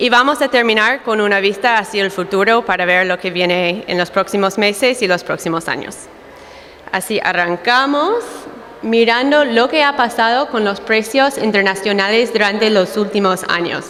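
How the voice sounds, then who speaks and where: A woman talks at a moderate pace while noticeable background noise persists. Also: fairly high pitch for a woman, ordinary pitch variation. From United States. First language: English (speaking Spanish). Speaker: dairy market analyst. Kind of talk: conference talk.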